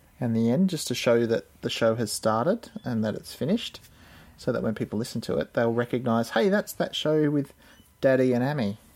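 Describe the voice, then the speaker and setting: Using a normal speaking voice, a man moves at a fairly quick pace with lively intonation. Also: medium pitch for a man. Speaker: father podcaster. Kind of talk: casual chat with child. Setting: home room with microphone.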